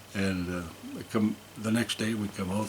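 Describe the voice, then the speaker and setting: A man with a Canadian prairie accent speaks at a fairly low pitch against noticeable background noise. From Saskatchewan, Canada (Saskatoon). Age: 70s. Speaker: musician and retired school principal. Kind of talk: interview storytelling. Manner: animated.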